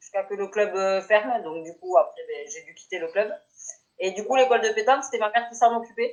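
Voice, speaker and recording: In a plain, everyday voice, the speaker shows big swings in loudness and ordinary pitch variation. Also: woman, fairly high pitch for a woman. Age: 30s. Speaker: petanque player. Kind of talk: interview.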